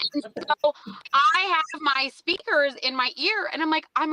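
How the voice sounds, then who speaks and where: A woman's raised, projected voice, high in pitch, with a dry, close sound and no echo. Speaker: motorcycle rider, podcast guest. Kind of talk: casual chat. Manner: loud; animated.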